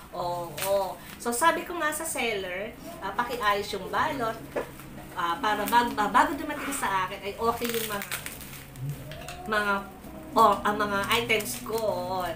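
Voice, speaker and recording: A woman speaks at a very slow pace, fairly high in pitch, with lively intonation and long, frequent pauses. Room echo is audible, and background noise is noticeable. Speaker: unboxing vlogger. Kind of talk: casual unboxing vlog. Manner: loud.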